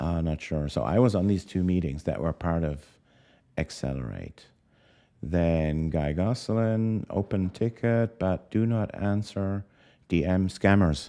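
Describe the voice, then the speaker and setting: A man's very deep, low voice with a non-native accent and a dark, mellow tone, fairly slow and with ordinary pitch variation, over a quiet background. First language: not English. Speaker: crypto podcast host. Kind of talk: live stream interview. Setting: live stream. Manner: halting.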